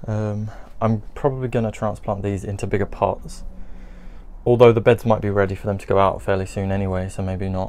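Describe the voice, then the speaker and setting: A man talks at a fairly quick pace in a fairly low voice. His intonation is monotone and flat. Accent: British. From UK. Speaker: gardening vlogger. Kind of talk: casual video update. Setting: greenhouse, filming with camera. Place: garden. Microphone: phone near.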